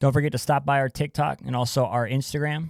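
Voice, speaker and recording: A man speaks at a fairly quick pace in an unremarkable speaking voice, his pitch medium and his intonation fairly even, on a very clean recording with a silent background. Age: young. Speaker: podcast host. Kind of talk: show outro; casual interview chat.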